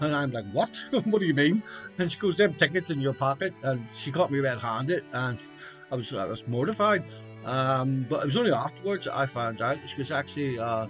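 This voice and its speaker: Music plays in the background as a man of medium pitch talks at a fairly quick pace with lively intonation. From Belfast, Northern Ireland. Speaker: memoir author, podcaster. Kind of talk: casual storytelling podcast. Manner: conversational, hesitant.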